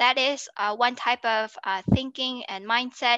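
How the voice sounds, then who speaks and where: The woman's voice is high-pitched, with a bright, sharp tone and ordinary pitch variation. She talks at a fairly slow pace in a dry, close recording with no echo and a quiet background. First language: not French. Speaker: guest, gap year traveler. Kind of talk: interview. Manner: halting, many fillers.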